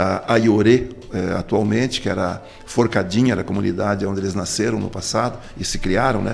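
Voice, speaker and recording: A man's voice with noticeable background noise. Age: 60s. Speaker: politician. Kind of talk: interview.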